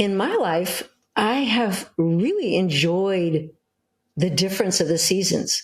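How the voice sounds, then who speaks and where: A somewhat breathy woman in an American accent, medium pitch, ordinary pitch variation, very even loudness and a very slow pace. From US West Coast, Hollywood. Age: 70s. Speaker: cookbook author. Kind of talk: interview.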